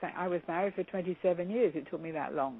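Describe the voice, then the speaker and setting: Speaking fairly quickly, a woman talks with an English accent. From England (London). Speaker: counselor and motivational speaker. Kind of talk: interview.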